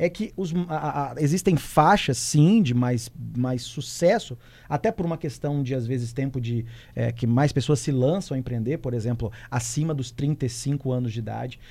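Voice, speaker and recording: The voice is dark and mellow, somewhat breathy, fairly slow, and lively in intonation. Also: man. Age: 30s. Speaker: entrepreneurship commentator. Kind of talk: radio talk show. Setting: studio.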